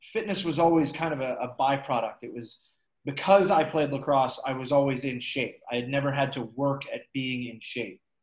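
Speaking at a moderate pace with an American accent, this man has a fairly high pitch, ordinary pitch variation and big swings in loudness. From US Midwest, St. Louis, Missouri. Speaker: army engineer and lacrosse goalie. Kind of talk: casual interview.

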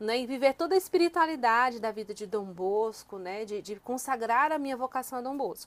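A woman speaks at a fairly quick pace with hardly any pauses. Her pitch is high. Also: lively intonation. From Northeast Brazil, Fortaleza (Ceará). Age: 30s. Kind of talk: interview. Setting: in person at mission house.

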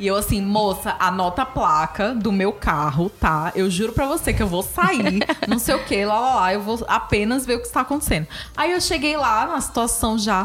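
The voice moves at a moderate pace with very wide pitch swings. Noticeable background noise is present. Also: woman, fairly high pitch for a woman. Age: 30s. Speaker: podcast co-host. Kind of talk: casual chat.

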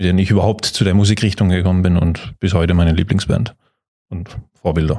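This voice has a dark, mellow tone and fairly even intonation against a quiet background. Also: man. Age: 30s. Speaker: metal band guitarist. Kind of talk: casual interview.

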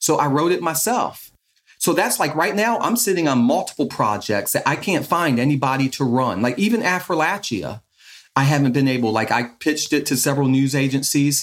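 A man's unremarkable speaking voice at a fairly quick pace, its loudness very even. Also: fairly high pitch for a man, lively intonation. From moved around US Northeast and Midwest as child, born in Chicago. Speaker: documentary photographer. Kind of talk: casual interview.

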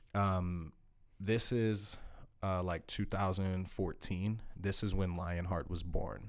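Very slowly and in a monotone, flat intonation, a man speaks at a very deep, low pitch with audible room echo. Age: 20s. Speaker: small business owner. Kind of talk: casual chat.

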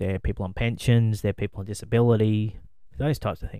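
A man with an Australian accent, fairly low in pitch with a dark, mellow tone, at a fairly quick pace, in a very clean recording with a silent background. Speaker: podcast co-host. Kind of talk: casual chat.

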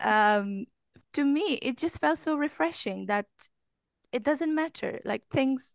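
In a Romanian accent, a woman speaks very slowly with ordinary pitch variation, in a dry, close sound with no echo and a quiet background. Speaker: English language coach. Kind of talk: casual chat.

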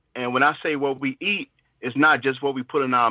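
An unremarkable speaking voice with an American accent at a fairly quick pace. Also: man. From Chicago. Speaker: podcast guest. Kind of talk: casual discussion.

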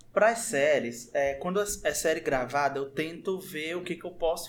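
Pitched high, the man speaks with ordinary variation in his pitch. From born in Brazil's Southeast, identifies as northeastern. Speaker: youtuber. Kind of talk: casual chat.

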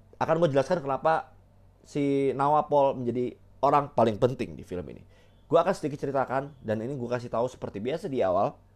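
At a very fast pace, an animated man with a fairly high pitch talks with ordinary pitch variation and big swings in loudness. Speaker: solo podcast host, film reviewer. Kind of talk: casual solo film review monologue. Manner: animated, heavy Indonesian-English code-switching.

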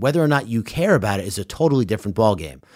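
In a New York accent, a man speaks at a very fast pace. His pitch swings very widely. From Long Island, New York. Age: 30s. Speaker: podcast host. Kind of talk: casual chat.

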